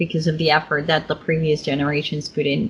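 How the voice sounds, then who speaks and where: A woman speaks with a bright, sharp tone at a fairly low pitch. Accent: Dutch. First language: Dutch. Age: 30s. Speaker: conference host and interviewer. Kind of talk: conference interview.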